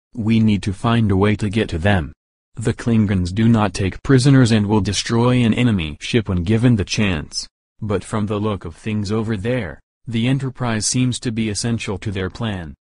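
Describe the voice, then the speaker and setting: A man puts on a growling character voice at a fairly low pitch. He keeps a moderate pace. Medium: audio drama.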